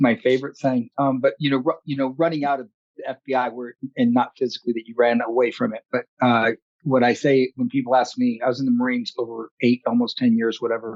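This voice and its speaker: A man talks very fast in a flat monotone at a medium pitch, with a dry, close sound and no echo. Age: 50s. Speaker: podcast host, active shooter expert, former Marine. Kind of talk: podcast interview.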